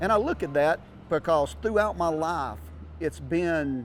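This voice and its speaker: With music in the background, a man speaks in a Southern US accent with lively intonation. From North Florida. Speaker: auctioneer. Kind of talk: personal storytelling to camera.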